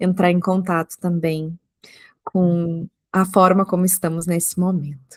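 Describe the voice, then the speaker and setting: In a very clean recording with a silent background and a dry, close sound with no echo, a woman talks at a fairly slow pace with monotone, flat intonation. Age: 30s. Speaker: psychologist podcast host. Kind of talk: podcast interview.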